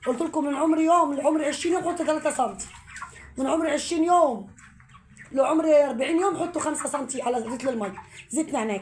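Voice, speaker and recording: A woman's high-pitched voice at a fairly quick pace with ordinary pitch variation, over noticeable background noise and audible room echo. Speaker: home poultry vlogger. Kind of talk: tutorial.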